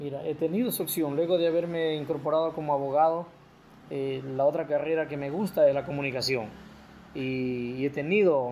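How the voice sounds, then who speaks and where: At a moderate pace, a man talks in a normal speaking voice, fairly high in pitch with fairly even intonation. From El Oro province, coastal Ecuador. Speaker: sports broadcaster and lawyer. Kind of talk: testimony.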